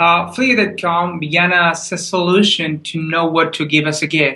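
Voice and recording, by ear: A man's fairly high voice with a bright, sharp tone, fairly even intonation, moderate pace and audible room echo.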